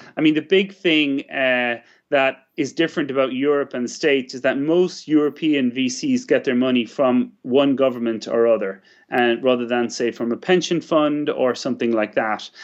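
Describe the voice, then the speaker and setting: Ordinary pitch variation marks this man's speech in an Irish accent. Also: medium pitch for a man, moderate pace. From West of Ireland. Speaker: startup chairman. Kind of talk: interview.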